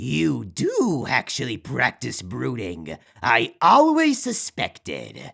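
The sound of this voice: Over a very clean recording with a silent background, a man uses a put-on character voice at a medium pitch and slow pace, with very wide pitch swings, vocal fry and a fairly bright tone.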